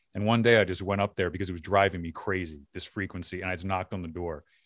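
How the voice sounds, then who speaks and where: A man in a Philadelphia accent talks at a very fast pace with a fairly low pitch. The sound is dry and close, with no echo. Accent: faint Philadelphia. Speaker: podcast host and filmmaker. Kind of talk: casual interview.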